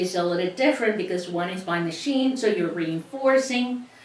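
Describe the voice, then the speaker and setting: With noticeable background noise and audible room echo, a woman in a Cuban accent speaks at a moderate pace with lively intonation. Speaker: sewing instructor. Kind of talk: tutorial.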